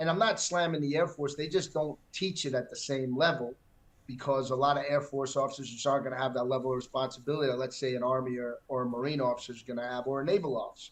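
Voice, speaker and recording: Speaking very fast with a New York accent, a man keeps a medium pitch and fairly even intonation. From New York City, Manhattan. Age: 60s. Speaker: retired military pilot. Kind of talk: casual interview. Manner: halting, many fillers and repeats.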